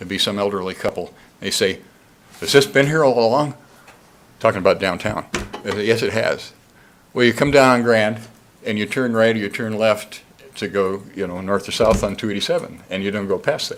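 Noticeable background noise sits behind a man talking at a fairly quick pace and medium pitch. He uses ordinary pitch variation and takes long, frequent pauses. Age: 60s. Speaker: public commenter, downtown business owner. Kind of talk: public comment at city council meeting. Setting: city council chamber. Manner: animated.

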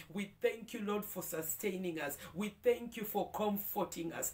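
Pitch varies in an ordinary way as the speech moves at a moderate pace. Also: woman. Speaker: prayer leader. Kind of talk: devotional prayer; fervent prayer. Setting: video, morning devotion. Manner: fervent, heartfelt, praising; warm, uplifting. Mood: fervent, thankful. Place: home room.

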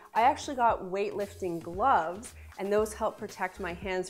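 Ordinary pitch variation at a moderate pace, with faint music in the background. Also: woman. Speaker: lifestyle vlogger. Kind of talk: tips video talk to camera. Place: studio.

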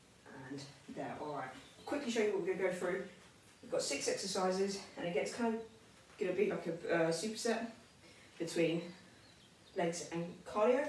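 A woman talks at a moderate pace with long, frequent pauses. Light background noise and audible room echo are audible. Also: lively intonation. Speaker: personal trainer. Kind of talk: tutorial. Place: empty room. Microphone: camera far.

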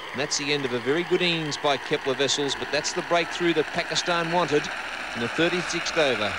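The sound is dry, with no echo. Loud background noise is present. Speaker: cricket commentator. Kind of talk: live commentary.

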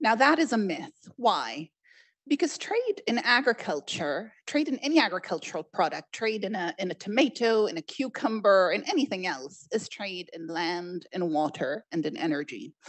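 A woman's pitch swings very widely as she talks at a moderate pace, with a quiet background behind her. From Egypt. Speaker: trade official; panelist. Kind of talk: panel discussion. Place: stage. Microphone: handheld.

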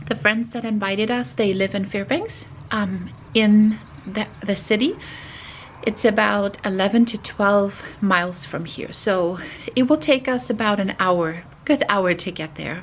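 A woman speaks at a fairly slow pace with ordinary pitch variation. Light background noise can be heard. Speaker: family vlogger. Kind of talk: casual vlog chat. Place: home room. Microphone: phone near.

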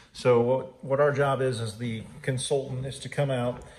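In a room with audible echo, a man speaks at a moderate pace and medium pitch, with little pitch movement and a slightly mellow tone.

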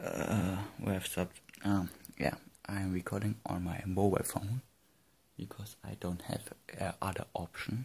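Soft-spoken and somewhat breathy, the voice keeps a moderate pace and fairly even intonation, broken by long, frequent pauses. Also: man, fairly low pitch for a man. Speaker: gaming YouTuber. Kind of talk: casual vlog. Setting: room at night. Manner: quiet, speaking softly; hesitant, many fillers.

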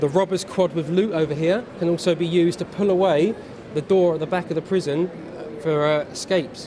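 Over noticeable background noise, a man with a high voice speaks fairly quickly and with fairly even intonation. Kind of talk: product demonstration to a child. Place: hall. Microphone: phone near.

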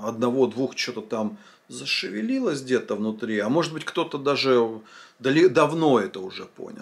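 A man talks at a moderate pace with lively intonation and big swings in loudness. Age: 40s. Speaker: vlogger, former drinker; vlogger. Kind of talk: monologue answering a viewer comment. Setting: filming at home. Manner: casual, conversational. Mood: reflective, earnest, some swearing. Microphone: phone near.

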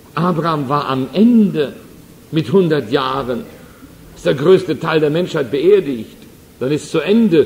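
Amid noticeable background noise, a man speaks with a fairly high pitch and lively intonation, taking long, frequent pauses. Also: fairly slow pace. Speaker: evangelist, preacher. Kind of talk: sermon. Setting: church hall, live audience.

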